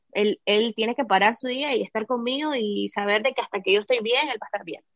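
Speaking at a fairly quick pace, a woman has a fairly high pitch and ordinary pitch variation. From Nicaragua. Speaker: entrepreneur and former TV host. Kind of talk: interview.

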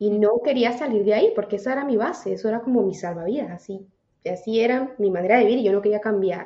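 A woman with a fairly high voice talks at a very fast pace, her pitch varying in an ordinary way. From Venezuela, Táchira. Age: 30s. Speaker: personal development coach. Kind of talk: casual interview.

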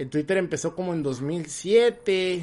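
Against a quiet background, a man with a high pitch talks at a very slow pace. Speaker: podcast host. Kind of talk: casual chat. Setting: live stream.

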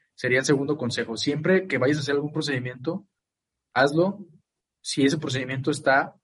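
A man talks at a fairly quick pace with a fairly high, somewhat breathy voice. His pitch varies in an ordinary way. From Mexico, Guadalajara. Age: 20s. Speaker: lawyer. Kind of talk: interview. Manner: halting, many fillers.

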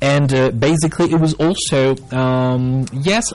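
With music in the background, a man talks at medium pitch. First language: Spanish. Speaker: English teacher / language show host. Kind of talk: live-streamed educational talk. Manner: hesitant, many fillers.

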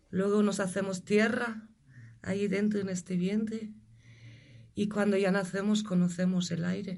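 A somewhat breathy woman speaks with flat, monotone intonation and long, frequent pauses. Audible room echo surrounds her voice. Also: medium pitch for a woman, fairly slow pace. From Germany. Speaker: energy healer. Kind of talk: interview.

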